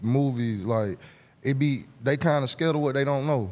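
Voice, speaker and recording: A man speaks with an Atlanta accent. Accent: Southern US (Atlanta). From Atlanta, Georgia (US South). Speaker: rapper and songwriter. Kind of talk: casual interview chat. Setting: studio. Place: studio. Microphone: studio mic.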